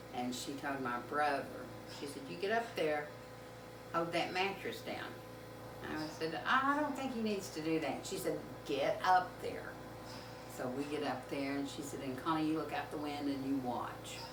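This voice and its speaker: In a Southern US accent, the speaker goes at a moderate pace with long, frequent pauses and ordinary pitch variation, over noticeable background noise and audible room echo. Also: woman, very deep, low pitch for a woman. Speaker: home cook video host. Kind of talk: casual storytelling. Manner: halting.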